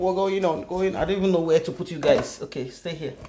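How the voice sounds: This woman speaks at a fairly low pitch with a dark, mellow tone.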